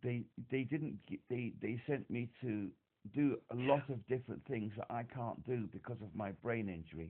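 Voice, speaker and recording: Speaking at a moderate pace, a man with a medium pitch shows ordinary pitch variation. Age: 60s. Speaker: caller to an emotional support helpline. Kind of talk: phone call to support line. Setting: phone call. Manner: halting, repetitive.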